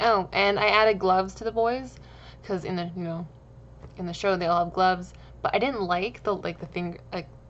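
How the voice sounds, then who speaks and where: Mumbling, a woman talks at a medium pitch with ordinary pitch variation. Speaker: gaming YouTuber. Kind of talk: game commentary voiceover. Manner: fast.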